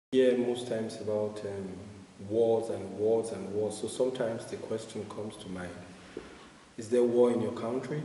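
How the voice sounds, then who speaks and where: Monotone, flat speech moves at a moderate pace with big swings in loudness. There is audible room echo and noticeable background noise. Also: man, medium pitch for a man. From Nigeria. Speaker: refugee activist. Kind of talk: interview. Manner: hesitant, many filler sounds.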